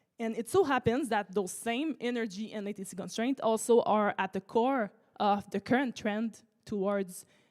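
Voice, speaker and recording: At a moderate pace, a voice with a French accent and ordinary pitch variation comes through dry and close, with no echo. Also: woman, fairly high pitch for a woman. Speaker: startup researcher. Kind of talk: conference talk. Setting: auditorium with audience.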